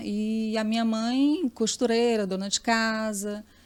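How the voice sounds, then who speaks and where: Noticeable noise runs through the background. The voice belongs to a woman. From Piauí, Brazil (Teresina). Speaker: journalist. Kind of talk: interview.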